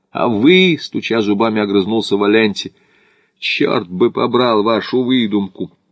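What you hear is a natural reading voice.

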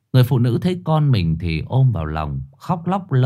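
The text is read aloud in a natural voice.

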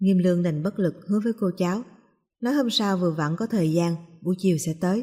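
Set against a quiet background, this is plain reading aloud with ordinary pitch variation.

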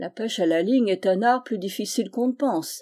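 The recording features plain reading aloud.

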